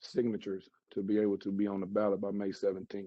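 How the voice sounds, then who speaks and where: With a Southern US accent, a man speaks fairly quickly at a fairly low pitch in a monotone, flat intonation. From Charlotte, North Carolina, US South. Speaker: mayoral candidate, salon owner. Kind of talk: campaign speech. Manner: halting, many fillers.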